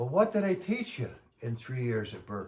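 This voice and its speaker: Taking a fairly slow pace, a man's somewhat breathy voice swings very widely in pitch. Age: 60s. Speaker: musician vlogger. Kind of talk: casual monologue. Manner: animated; halting.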